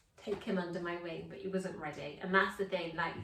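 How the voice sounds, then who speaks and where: With an English accent, a woman speaks in a fairly low pitch and monotone, flat intonation, amid noticeable background noise and audible room echo. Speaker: vlog co-host. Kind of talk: casual chat.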